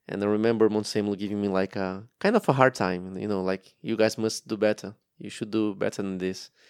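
A man with a Portuguese accent, fairly low pitch and moderate pace, in a very clean recording with a silent background and a dry, close sound with no echo. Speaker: former racing driver. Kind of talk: interview. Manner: halting.

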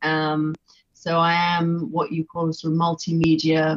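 At a fairly slow pace, a woman speaks in a flat monotone with a very deep, low pitch. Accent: English. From England. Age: 50s. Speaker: visual artist. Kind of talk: casual interview chat. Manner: hesitant, many fillers.

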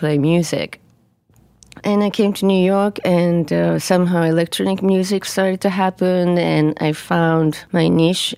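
With a Japanese accent, a woman speaks at a medium pitch in a dark, mellow tone with fairly even intonation. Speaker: musician. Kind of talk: casual interview conversation. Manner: careful, deliberate wording.

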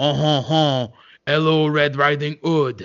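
A man puts on a character voice with a French accent, pitched fairly high.

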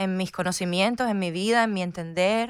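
Using an ordinary speaking voice, a woman talks at a medium pitch and with fairly even intonation. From Havana, Cuba. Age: young. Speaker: actress. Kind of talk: radio interview. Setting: radio studio.

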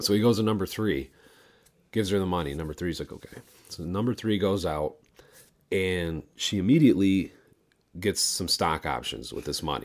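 The man's pitch is very deep and low. He keeps a moderate pace with long, frequent pauses. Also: ordinary pitch variation. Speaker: podcast co-host. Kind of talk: casual chat. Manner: mush-mouthed.

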